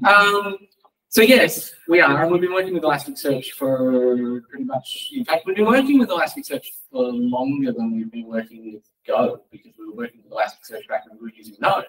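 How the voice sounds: A man talks at a fairly quick pace with lively intonation. His medium-pitched voice has a fairly bright tone and a slightly husky edge.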